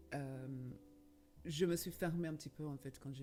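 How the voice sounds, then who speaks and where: A woman with a non-native accent and a very deep, low pitch speaks at a fairly quick pace. Her intonation is monotone and flat, with music in the background. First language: not French (speaking French). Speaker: healer and medium. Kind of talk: podcast interview. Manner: halting, many hesitations.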